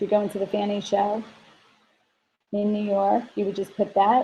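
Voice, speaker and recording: A woman speaks at a moderate pace. Her voice is somewhat breathy, with a dark, mellow tone. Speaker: software presenter. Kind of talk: webinar product demo.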